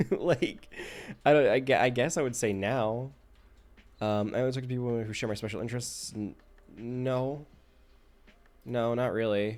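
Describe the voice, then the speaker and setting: A soft-spoken man of medium pitch at a moderate pace, with long, frequent pauses. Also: fairly even intonation. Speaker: livestreamer. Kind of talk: casual live stream talk while answering a questionnaire. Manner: halting, many false starts.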